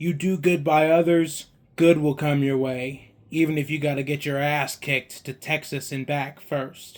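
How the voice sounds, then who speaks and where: Putting on a gruff character voice, a man talks at a moderate pace with a fairly high pitch and monotone, flat intonation. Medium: read story. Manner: terse, dry, gruff.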